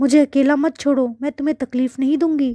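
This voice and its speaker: A woman uses a put-on character voice, high-pitched, raspy and shaky. Her intonation is monotone and flat, and her pace is moderate. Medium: read story.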